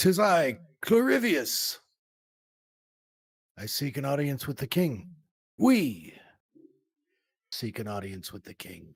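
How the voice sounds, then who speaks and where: A raspy, put-on character voice at low-to-middle pitch swings very widely in pitch, moving at a fairly slow pace with long, frequent pauses on a very clean recording with a silent background. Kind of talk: mock-archaic fantasy speech. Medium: actual play. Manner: pompous, formal.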